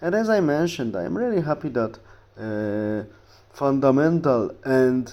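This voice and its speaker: A man with a Polish accent speaks at a fairly slow pace. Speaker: history YouTuber. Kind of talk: casual talk to camera. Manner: halting with fillers.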